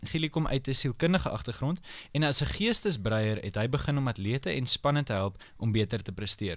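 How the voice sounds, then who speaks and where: Over a quiet background, a man at medium pitch makes very wide pitch swings. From South Africa. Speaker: podcast host. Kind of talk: panel discussion; podcast discussion. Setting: studio. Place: studio. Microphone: studio mic.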